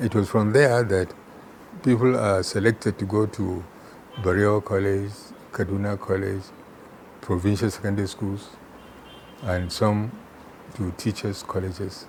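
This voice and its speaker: A man with a northern Nigerian accent speaks at a moderate pace in a fairly low pitch, with fairly even intonation, long and frequent pauses, and noticeable background noise. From Nigeria, Kano. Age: 80s+. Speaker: retired chemistry professor. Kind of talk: interview.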